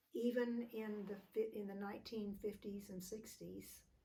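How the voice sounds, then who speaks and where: With an American accent, a woman speaks at a moderate pace and a medium pitch. Her intonation is monotone and flat, and audible room echo surrounds her. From Texas. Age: 80s+. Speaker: family elder interviewed. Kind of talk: oral history interview. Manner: halting.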